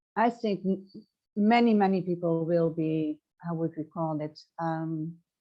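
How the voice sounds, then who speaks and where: A woman's fairly low-pitched voice in a Dutch accent. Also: ordinary pitch variation, fairly slow pace. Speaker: transformational coach. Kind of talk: interview. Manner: halting.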